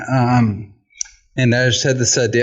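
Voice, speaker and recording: A man's voice at medium pitch, slightly breathy, delivered at a moderate pace. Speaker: photographer. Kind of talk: casual chat. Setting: walking on a treadmill desk.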